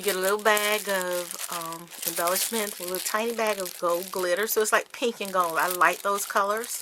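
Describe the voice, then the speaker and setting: A woman at medium pitch and a moderate pace, with fairly even intonation and hardly any pauses, against noticeable background noise. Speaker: craft YouTuber. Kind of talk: casual haul video.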